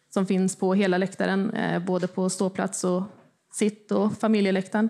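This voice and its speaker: A woman's dark, mellow tone comes through in flat, monotone intonation at a moderate pace. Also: very clean recording, silent background. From Östergötland, Sweden (Motala). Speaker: football supporter association chair. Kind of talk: panel discussion. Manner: hesitant, many fillers.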